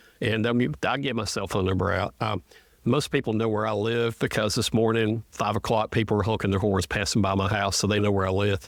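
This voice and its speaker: On a very clean recording with a silent background, a man with a Southern US accent speaks fairly quickly in a fairly low pitch, his intonation fairly even and his loudness very even. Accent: Southern US (Georgia). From northwest Georgia. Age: 60s. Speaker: state representative. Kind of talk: casual interview.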